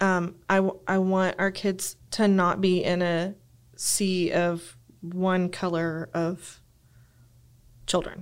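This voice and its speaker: In a West Texas accent, a woman speaks at medium pitch, very slowly and in a monotone, flat way, with long, frequent pauses, in a very clean recording with a silent background. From West Texas (Lubbock). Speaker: church member, seminary graduate. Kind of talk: casual chat.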